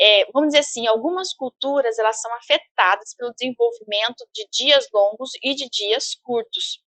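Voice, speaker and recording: A woman speaks at a high pitch in a bright, sharp tone with ordinary pitch variation. Her loudness swings widely. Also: moderate pace, dry, close sound with no echo. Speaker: university professor. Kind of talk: lecture. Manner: halting, many fillers and repetitions.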